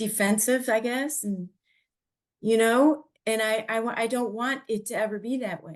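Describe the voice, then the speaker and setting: Against a quiet background, a woman speaks at a fairly high pitch and a moderate pace with fairly even intonation. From Ohio, Cleveland. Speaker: podcast host. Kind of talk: casual chat. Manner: halting.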